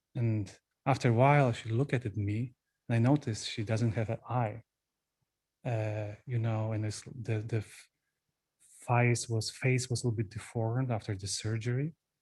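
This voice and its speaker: A man with a Polish accent speaks at a moderate pace and medium pitch, somewhat breathy, with fairly even intonation and long, frequent pauses. The recording is very clean, with a silent background. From Poland. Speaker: Buddhist monk, retreat teacher. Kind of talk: dharma talk. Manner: halting.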